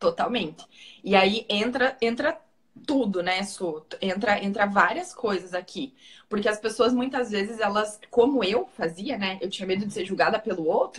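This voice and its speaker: A woman speaks in a strong Paraná accent. Her pace is moderate and her pitch variation ordinary. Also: medium pitch for a woman. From Paraná, Brazil. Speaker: physiotherapist and holistic therapist. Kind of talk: interview / personal testimony.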